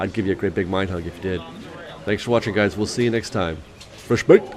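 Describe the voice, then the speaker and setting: A man's fairly low voice at a very fast pace, with ordinary pitch variation and noticeable background noise. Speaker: Disney theme park vlogger. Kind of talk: vlog narration.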